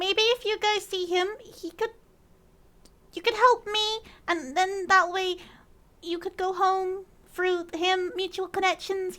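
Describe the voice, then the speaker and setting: A female-sounding put-on character voice, extremely high, moves at a fairly slow pace with long, frequent pauses. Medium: actual play. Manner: nervous, rambling.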